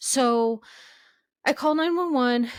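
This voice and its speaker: A woman with ordinary pitch variation on a very clean recording against a silent background. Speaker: podcast host and therapist. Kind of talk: casual podcast monologue. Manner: loud.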